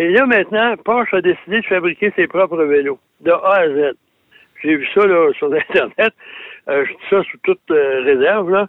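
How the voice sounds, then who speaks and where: A man with a Quebec accent speaks at a high pitch. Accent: Québécois French. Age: 70s. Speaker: automotive journalist. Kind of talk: radio segment chat.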